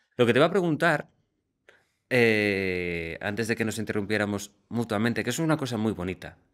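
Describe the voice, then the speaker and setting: Over a quiet background, a man with a plain, everyday voice speaks at a moderate pace. His fairly low pitch rides on lively intonation. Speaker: radio presenter and podcast co-host. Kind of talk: casual banter with co-host in a comedy podcast. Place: studio. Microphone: studio mic.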